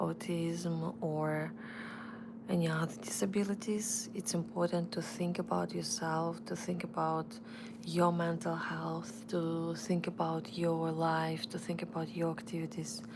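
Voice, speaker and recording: A woman talks at a very slow pace, with audible room echo and noticeable background noise around her. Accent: Russian. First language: Russian. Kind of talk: live stream chat. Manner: halting, with restarts.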